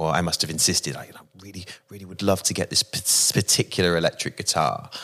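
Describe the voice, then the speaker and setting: With a southern English accent, a man speaks at a very deep, low pitch in a very clean recording with a silent background. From West Country, Bristol. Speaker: rock musician. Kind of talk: casual interview conversation.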